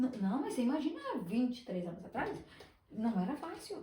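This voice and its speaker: A woman with a high pitch and very wide pitch swings speaks at a fairly quick pace amid noticeable background noise and audible room echo. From Brazil, Espírito Santo. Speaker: business owner, former teacher. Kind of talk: podcast interview.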